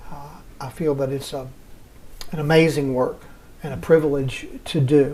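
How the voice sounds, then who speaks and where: Speaking fairly slowly with a Southern US accent, a man uses a fairly high pitch, a dark, mellow tone, a somewhat breathy quality and fairly even intonation. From US South. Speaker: hospice chaplain. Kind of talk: interview.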